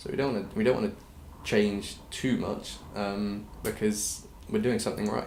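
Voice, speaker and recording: A man with an English accent at a moderate pace, audible room echo around him. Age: 20s. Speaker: clothing brand founder. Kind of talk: interview.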